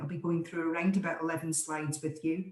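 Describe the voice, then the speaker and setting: A woman with an Aberdeen accent. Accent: Scottish (Aberdeen). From Scotland, Aberdeen. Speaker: voice coach. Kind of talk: online presentation. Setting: video call.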